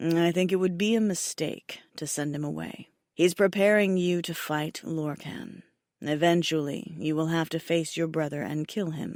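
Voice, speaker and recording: Using a put-on character voice, a woman speaks at a fairly low pitch and moderate pace on a very clean recording with a silent background. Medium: read story. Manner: dry, terse.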